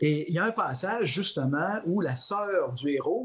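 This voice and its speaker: A man with lively intonation. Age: 60s. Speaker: philosophy professor and author. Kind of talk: interview. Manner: halting.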